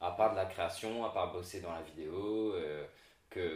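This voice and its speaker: Somewhat breathy, a man talks at a fairly slow pace with audible room echo. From Réunion (La Chaloupe Saint-Leu area). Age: 20s. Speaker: content creator. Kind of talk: casual chat.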